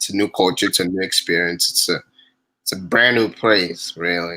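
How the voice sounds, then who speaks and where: With a non-native accent, a man speaks at a very deep, low pitch in a bright, sharp tone, using ordinary pitch variation. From refugee camp in Tanzania, born in DR Congo. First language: not English. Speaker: refugee storyteller. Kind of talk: interview. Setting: livestream. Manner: hesitant, many fillers.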